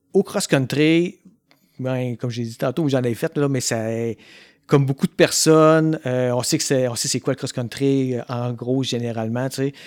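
The speech comes at a fairly slow pace in a Quebec accent. The sound is dry and close, without echo. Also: man, medium pitch for a man, ordinary pitch variation. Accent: Québécois French. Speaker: podcast host. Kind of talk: casual interview. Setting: in person in Quebec.

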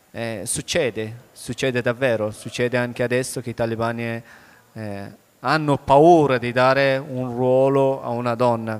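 With a fairly even intonation, a man of medium pitch speaks at a fairly slow pace. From Afghanistan. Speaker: author. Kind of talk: onstage book interview. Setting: stage with audience.

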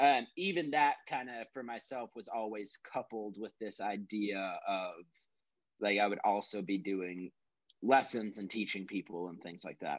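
Here is a man with an American accent and a fairly low pitch, speaking at a fairly slow pace. He has an unremarkable speaking voice, and his pitch varies in an ordinary way. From Texas. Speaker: musician. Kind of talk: casual chat. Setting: remote call with earbuds.

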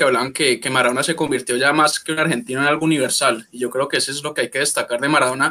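The tone is bright and sharp, and the intonation stays fairly even. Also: man. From Colombia. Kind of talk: panel discussion.

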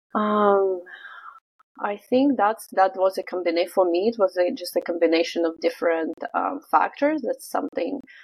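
A woman's medium-pitched voice with a Russian accent, lively intonation and a moderate pace. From Russia, Vladivostok. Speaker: business owner. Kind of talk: interview.

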